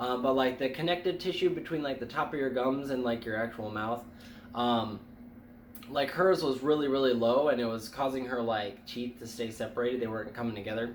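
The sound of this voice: A man speaks at a fairly quick pace in a medium pitch, with ordinary pitch variation and audible room echo.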